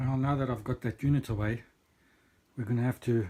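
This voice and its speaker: Somewhat breathy, a man of medium pitch speaks with ordinary pitch variation. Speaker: cabin renovator. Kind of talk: casual vlog talk to camera.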